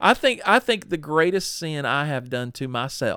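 Here a man speaks in a bright, sharp tone with a Southern US accent. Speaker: pastor. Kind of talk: podcast interview, testimony.

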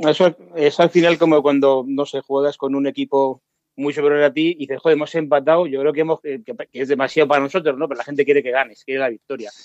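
In a fairly high pitch, a man talks at a very fast pace with monotone, flat intonation, the sound dry and close with no echo. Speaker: radio contributor. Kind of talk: radio panel discussion.

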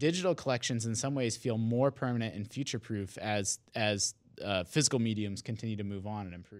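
This man has an unremarkable speaking voice, medium in pitch with ordinary pitch variation, going at a fairly quick pace with hardly any pauses. The recording is very clean, with a silent background. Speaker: video game journalist. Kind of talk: casual chat.

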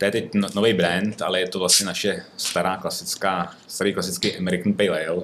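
A man speaks with a very deep, low pitch and monotone, flat intonation. He hardly pauses at all. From northern Bohemia, Czech Republic (Ústí). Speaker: brewery owner and entrepreneur. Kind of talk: casual interview. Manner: hesitant, many fillers.

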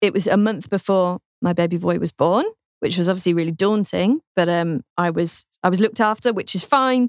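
Recorded very cleanly against a silent background with a dry, close sound and no echo, a woman with a British accent speaks at medium pitch and a fairly quick pace. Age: 20s. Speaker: radio presenter. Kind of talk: interview.

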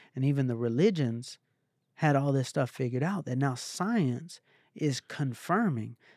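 A man's medium-pitched, animated voice with ordinary pitch variation at a moderate pace, recorded very cleanly against a silent background with a dry, close sound and no echo. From Atlanta, US South. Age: 30s. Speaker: motivational speaker and former music manager. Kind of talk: casual interview chat.

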